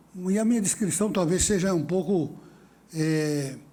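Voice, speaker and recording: A man's voice with audible room echo. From São Paulo city, Brazil. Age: 70s. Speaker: judge chairing a panel. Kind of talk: conference panel opening speech. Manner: hesitant, many fillers.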